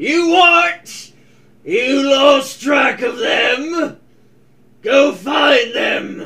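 Shouting in a put-on character voice, a man speaks at a very slow pace with an extremely high pitch. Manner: furious, shouting.

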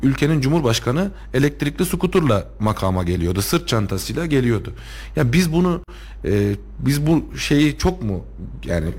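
The man's voice is somewhat breathy, moving at a moderate pace with very wide pitch swings. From Turkey, Kayseri (Tomarza). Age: 30s. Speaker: lawyer and local politician. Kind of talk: radio interview. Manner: hesitant, many filler sounds.

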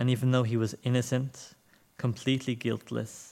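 In a very clean recording with a silent background, a man speaks. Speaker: church service leader. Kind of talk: church service welcome and prayer. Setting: church.

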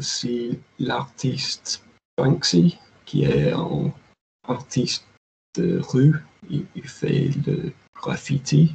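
A man's fairly high voice, very slow in pace, with ordinary pitch variation and long, frequent pauses. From northeast England. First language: English (speaking French). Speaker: software engineer. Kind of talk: casual chat. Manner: halting.

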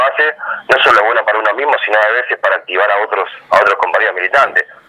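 A man talks very quickly, with noticeable noise in the background. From Argentina, Avellaneda (Buenos Aires). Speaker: youth political activist. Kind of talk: radio interview.

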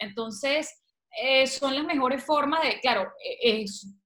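This woman speaks in a Venezuelan accent with a high pitch. Her pitch variation is ordinary. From Venezuela, Valencia. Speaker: author and communicator. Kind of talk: interview.

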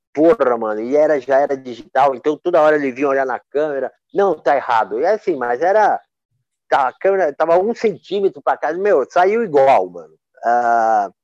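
Recorded dry and close with no echo, a man at a fairly high pitch moves through very wide pitch swings at a moderate pace. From Brazil, Campinas (São Paulo state). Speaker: photographer. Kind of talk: casual interview. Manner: halting, with many repetitions and fillers.

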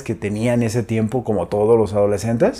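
This man has a medium-pitched, dark, mellow tone and keeps a moderate pace. The recording is very clean, with a silent background. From Mexico, Zamora, Michoacán. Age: 30s. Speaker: nutritionist and fitness trainer. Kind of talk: personal storytelling vlog. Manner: halting, many fillers and repetitions.

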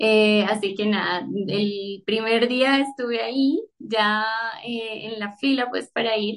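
A woman talks very slowly with fairly even intonation and a fairly high pitch. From Colombia, Bogotá. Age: 30s. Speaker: book Instagram creator. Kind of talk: casual chat.

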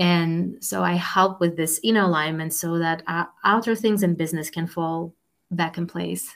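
With a Russian accent, a woman of fairly low pitch speaks at a moderate pace with fairly even intonation. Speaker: life coach and entrepreneur, former professor. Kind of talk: interview. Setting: video call.

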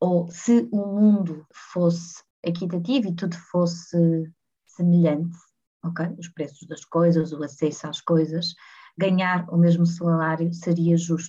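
At a very slow pace, a woman speaks in a fairly low pitch with a dark, mellow tone. Her voice is somewhat breathy, with big swings in loudness. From Portugal, Porto. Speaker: head of people and culture at a startup. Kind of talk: casual interview.

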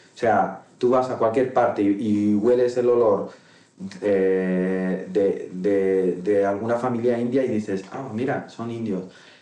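A man with a fairly low voice speaks very slowly, with fairly even intonation. His voice carries an audible room echo. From Morocco, Tangier. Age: 30s. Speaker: interview guest. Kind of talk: casual interview. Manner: halting, many repetitions and fillers.

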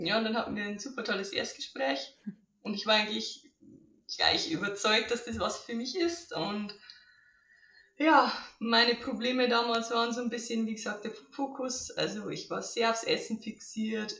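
With audible room echo, a woman talks at a moderate pace at fairly high pitch with ordinary variation. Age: 20s. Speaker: coaching client. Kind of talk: testimony.

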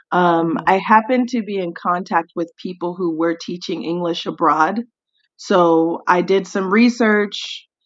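This woman has a normal speaking voice with an American accent and a medium pitch. She talks at a fairly slow pace with ordinary pitch variation. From US South, Tennessee. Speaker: English teacher. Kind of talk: casual chat.

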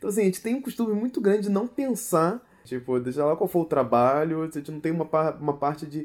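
This man talks at a very fast pace in a fairly high voice, his pitch swinging very widely. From Brazil, Rio de Janeiro. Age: 30s. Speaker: illustrator and designer. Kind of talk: casual interview. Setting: home recording.

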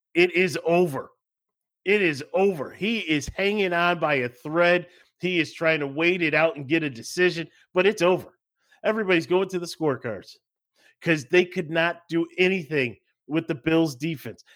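Here a man with an American accent speaks at a moderate pace, his high pitch showing ordinary variation. The recording is very clean, with a silent background. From Buffalo, New York. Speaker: sports podcast host. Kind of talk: casual sports chat. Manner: animated, laughs often.

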